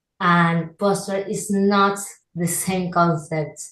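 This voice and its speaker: A woman talks in a fairly low pitch, and the room echo is audible. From Argentina. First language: Spanish. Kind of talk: interview. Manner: halting.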